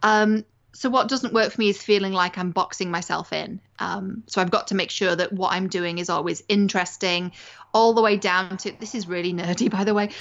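A woman talks at a fairly quick pace with an English accent. Her intonation is fairly even. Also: medium pitch for a woman. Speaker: media strategist and life coach. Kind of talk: interview. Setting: home recording on a sofa.

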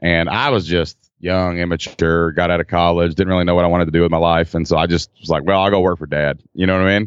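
A man with a Kentucky accent, very deep and low in pitch, at a very fast pace with hardly any pauses and monotone, flat intonation. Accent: Kentucky Southern. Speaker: entrepreneur, former school teacher. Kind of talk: casual interview chat. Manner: casual, chatty, joking.

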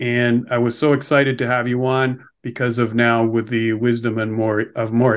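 Against a quiet background, a man talks at a medium pitch and a moderate pace. His intonation is monotone and flat. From Montreal. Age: 60s. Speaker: podcast host, financial advisor. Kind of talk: interview.

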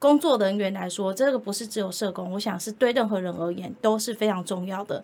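Using a plain, everyday voice, a woman of medium pitch talks with ordinary pitch variation and hardly any pauses. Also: fairly quick pace. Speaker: social worker, director of a rehabilitation center for the visually impaired. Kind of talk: interview.

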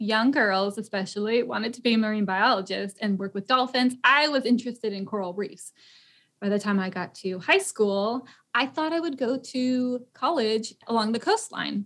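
On a very clean recording with a silent background, a woman with an American accent talks at a moderate pace in an unremarkable speaking voice, fairly high, with ordinary pitch variation. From Tennessee, US. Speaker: eco-tour founder and podcast host. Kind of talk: casual chat.

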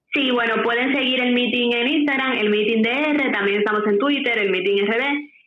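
A woman talks at a moderate pace with hardly any pauses, her pitch high. Her loudness stays very even, and her intonation is fairly even too. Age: 20s. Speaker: founder of political media outlet for youth. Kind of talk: interview. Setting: studio.

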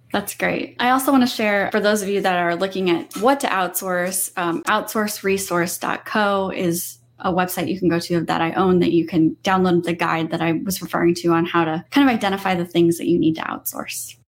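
At a fairly quick clip and with hardly any pauses, a woman with a plain, everyday voice talks at a medium pitch with lively intonation on a very clean recording with a silent background. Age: 30s. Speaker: business owner, virtual assistant trainer. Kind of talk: casual interview.

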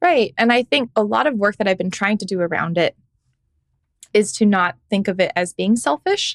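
A woman talks at a moderate pace with lively intonation and a medium pitch. The sound is dry and close, with no echo. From United States, Korean-American family. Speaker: gaming content creator. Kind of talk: casual interview.

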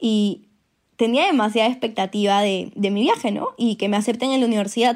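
In a very clean recording with a silent background, a normal speaking voice moves at a moderate pace. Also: woman. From Peru. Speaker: industrial engineer, former exchange student. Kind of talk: personal storytelling.

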